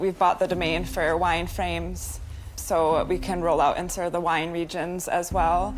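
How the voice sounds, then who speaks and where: Noticeable background noise surrounds a woman talking in an American accent. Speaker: entrepreneur pitching to investors. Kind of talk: rehearsed business pitch; answering investor questions.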